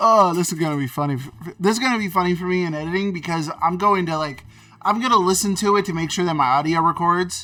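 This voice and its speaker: Very fast speech plays over music in the background. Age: 20s. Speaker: gaming YouTuber. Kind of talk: gameplay commentary. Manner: casual, rambling.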